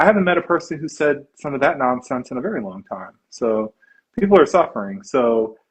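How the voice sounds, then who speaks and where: Speaking fairly quickly in an American accent, the voice rises and falls in very wide pitch swings. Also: man, fairly high pitch for a man. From Virginia. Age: 30s. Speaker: therapist and memoir author. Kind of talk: interview. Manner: halting, many fillers.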